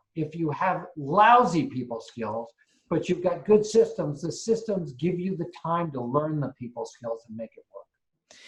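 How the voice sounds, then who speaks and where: The speech goes at a fairly slow pace with very wide pitch swings. Loudness swings in a big way too. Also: man, high pitch for a man. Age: 60s. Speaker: real estate investor and property management teacher. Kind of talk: interview.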